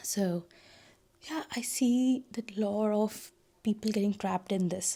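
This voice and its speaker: Soft-spoken and somewhat breathy, a woman with a dark, mellow tone talks at a fairly high pitch and a fairly slow pace, with ordinary pitch variation. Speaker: lifestyle vlogger, new mother. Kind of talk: casual vlog talk to camera.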